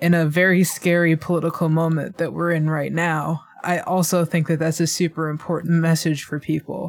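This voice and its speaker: The delivery runs at a moderate pace with hardly any pauses. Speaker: podcast host. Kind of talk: interview.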